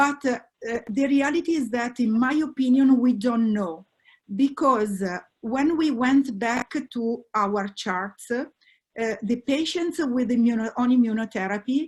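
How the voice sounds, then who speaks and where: This woman's voice is pitched high. She talks somewhat unhurriedly, her pitch moving in a normal way. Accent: Italian. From Italy. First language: Italian. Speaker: oncologist. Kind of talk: expert panel discussion. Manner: halting, many fillers.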